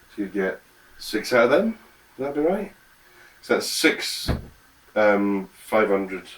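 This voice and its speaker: A man mumbles at a moderate pace. His pitch is medium. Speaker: home cook. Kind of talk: tutorial. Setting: home kitchen. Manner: mumbling; casual.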